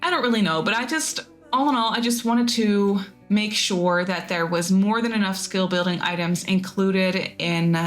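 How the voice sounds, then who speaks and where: A woman's speech comes through with noticeable background noise behind it. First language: not English. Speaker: gaming YouTuber. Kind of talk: voiceover narration of a game build. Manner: casual, rambly with fillers.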